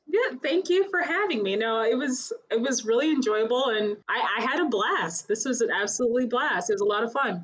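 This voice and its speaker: A woman speaks at a fairly quick pace with hardly any pauses, her high voice rising and falling in a lively way. Her loudness stays very even, and noticeable background noise runs underneath. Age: 30s. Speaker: actor, singer and dancer. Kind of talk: casual chat.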